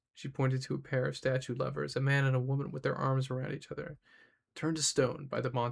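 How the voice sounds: With a quiet background, someone reads in a natural reading voice.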